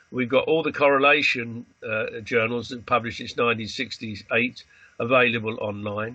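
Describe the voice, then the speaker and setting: A man with a British accent, medium pitch and ordinary pitch variation. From Britain. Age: 80s+. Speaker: astrologer, association president. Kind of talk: interview. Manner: hesitant, many fillers.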